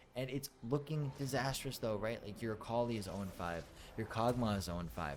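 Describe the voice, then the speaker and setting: A man has a normal speaking voice at medium pitch. His intonation is lively and his pace moderate. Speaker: esports caster. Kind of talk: video game commentary.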